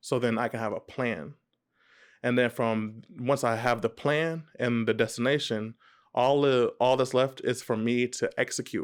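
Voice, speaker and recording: A man with an American accent speaks at a fairly slow pace and a medium pitch. The recording is very clean, with a silent background. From Texas, Dallas area (Irving). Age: 20s. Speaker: business vlogger. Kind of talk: vlog monologue. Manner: halting, many fillers and restarts.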